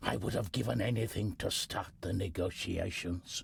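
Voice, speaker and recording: Putting on a character voice, a man speaks at a moderate pace in a very deep, raspy register. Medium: video game. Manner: measured, dignified.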